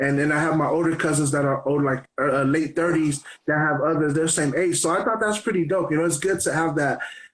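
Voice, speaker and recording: The speaker has an unremarkable speaking voice. The pace is fairly quick. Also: man. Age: 30s. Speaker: radio host. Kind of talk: interview. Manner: casual.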